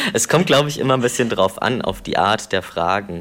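A man speaks at a moderate pace. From Brandenburg, eastern Germany. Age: 20s. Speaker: interview guest sharing personal experience. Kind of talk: personal interview. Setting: remote internet call.

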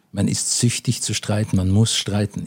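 His intonation stays fairly even, and his pitch is fairly low. The man's tone is dark and mellow. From Austria, Vienna. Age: 60s. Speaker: businessman in inheritance dispute. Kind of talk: interview.

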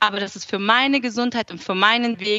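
A woman with an unremarkable speaking voice talks at a fairly quick pace. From southern Germany (Aalen, Swabia). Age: 20s. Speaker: food blogger and cookbook author. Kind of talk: interview.

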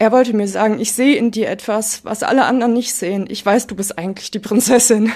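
Against noticeable background noise, a woman with fairly high pitch speaks at a very fast pace with fairly even intonation and hardly any pauses. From Ruhr area, Germany. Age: 20s. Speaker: daughter of a parent with hereditary Alzheimer's. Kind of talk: personal interview. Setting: at home in living room, remote.

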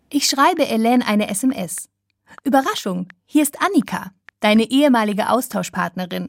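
Speaking at a moderate pace, a woman with a plain, everyday voice and fairly high pitch uses lively intonation while keeping her loudness very even. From southwest Germany, Schwäbisch Hall. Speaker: radio reporter. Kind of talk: scripted narration.

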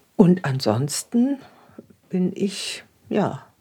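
Somewhat breathy with a dark, mellow tone, the voice moves at a very slow pace through very wide pitch swings. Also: woman. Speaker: interviewee, widowed pensioner. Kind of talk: documentary interview.

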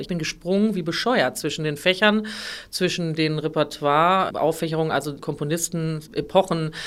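A woman speaks at a very deep, low pitch. Her pitch varies in an ordinary way. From northern Germany, near Hamburg. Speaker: opera singer. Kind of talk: interview.

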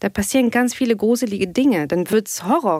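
A woman with a plain, everyday voice, fairly high in pitch, lively in intonation and fairly quick, in a dry, close sound with no echo. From Tunisia (Tunis). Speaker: aerospace engineer and sex therapist. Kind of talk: casual chat.

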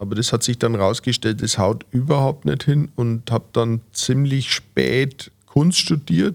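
Medium-pitched man, lively intonation, very slow delivery, hardly any pauses. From Franconia, Fürth. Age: 50s. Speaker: cabaret artist. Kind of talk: interview. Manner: hesitant, many fillers.

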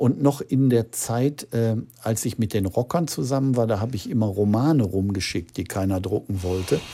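At a moderate pace, a man speaks in a somewhat breathy voice of medium pitch with ordinary pitch variation. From Ruhr area, Gelsenkirchen. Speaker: crime novelist. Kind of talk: interview.

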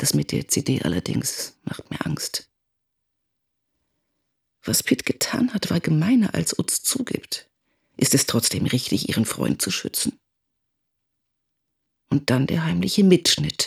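Using a put-on character voice, a woman speaks low and at a fairly slow pace, with vocal fry, a husky, rough edge, a slightly mellow tone, very wide pitch swings and long, frequent pauses.

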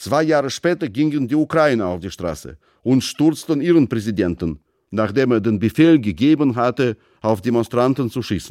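In a very clean recording with a silent background, a man with a Russian accent speaks at a moderate pace in a medium pitch, his intonation lively and the sound dry and close with no echo. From Russia (Moscow). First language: Russian (speaking German). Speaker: writer. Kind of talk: casual interview answers; reading own essay aloud.

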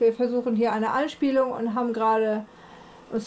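The woman's voice sits at a fairly high pitch with ordinary pitch variation. Her tone is dark and mellow, and her pace is moderate.

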